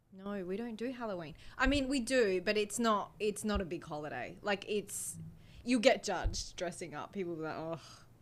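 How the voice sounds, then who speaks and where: A woman with an Australian accent speaks at a moderate pace and medium pitch with lively intonation, on a very clean recording with a silent background. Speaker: guest. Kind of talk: casual chat.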